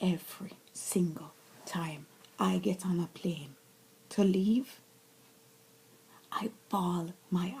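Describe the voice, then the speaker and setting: A woman talks with a medium pitch. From Jamaica (Mandeville). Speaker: vlogger. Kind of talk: personal vlog monologue. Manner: animated.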